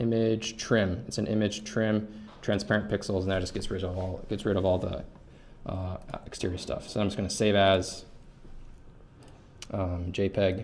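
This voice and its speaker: A man speaks in a fairly low, monotone, flat voice. Long, frequent pauses break up his speech, and the room echo is audible. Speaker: GIS course instructor. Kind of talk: tutorial. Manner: fast; hesitant fillers.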